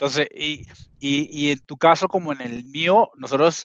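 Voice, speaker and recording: A man speaks in a Venezuelan accent at a fairly high pitch with ordinary pitch variation. The sound is dry and close, with no echo. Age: 40s. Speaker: marketing executive. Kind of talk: casual interview. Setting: video call.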